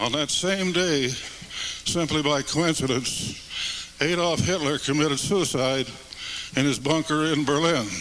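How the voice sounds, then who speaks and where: A man with an American accent speaks fairly slowly in a fairly high voice, with ordinary pitch variation and very even loudness, against noticeable background noise. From United States. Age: 80s+. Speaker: retired army general, war veteran. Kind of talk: public testimony speech to live audience. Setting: church hall.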